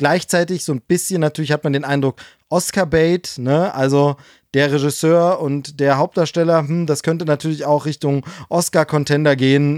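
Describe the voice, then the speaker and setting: With an unremarkable speaking voice, a man talks at a moderate pace in a fairly high pitch with fairly even intonation, in a very clean recording with a silent background and a dry, close sound with no echo. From East Germany. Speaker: podcast co-host. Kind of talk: casual chat.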